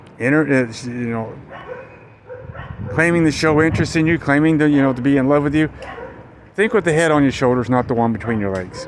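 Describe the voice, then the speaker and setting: Over noticeable background noise, a man with an American accent and a fairly high pitch talks at a fairly quick pace but leaves long, frequent pauses. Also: ordinary pitch variation. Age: 60s. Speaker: vlogger, expat in the Philippines. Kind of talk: casual vlog monologue. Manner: halting, with many fillers and repeats.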